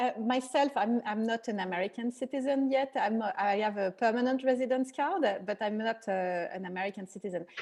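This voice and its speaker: With a French accent, a woman speaks fairly quickly at a fairly high pitch, using ordinary pitch variation. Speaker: event host. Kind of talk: interview.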